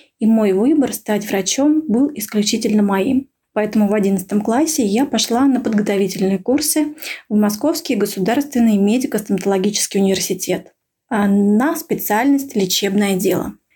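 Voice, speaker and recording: Her voice is somewhat breathy and fairly high, with a dark, mellow tone, ordinary pitch variation, very even loudness and a moderate pace. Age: 30s. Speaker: radiologist. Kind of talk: recorded monologue. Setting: remote recording.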